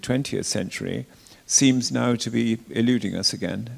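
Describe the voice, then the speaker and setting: Speaking very slowly in an RP accent, a man has a medium pitch and ordinary pitch variation. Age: 70s. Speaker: retired cathedral dean. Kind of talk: interview talk. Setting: church forum with live audience. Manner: halting, repeats words.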